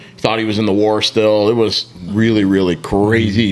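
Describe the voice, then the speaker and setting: A man speaks at a moderate pace with an American accent. Noticeable background noise runs under his voice. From Southern California. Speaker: podcast co-host. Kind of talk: casual chat.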